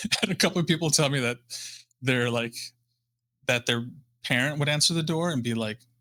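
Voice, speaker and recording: Long, frequent pauses mark this man's speech. He has a Midwestern American accent and a fairly high pitch. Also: ordinary pitch variation. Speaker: guitarist and professor. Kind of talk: casual chat. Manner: halting, many fillers.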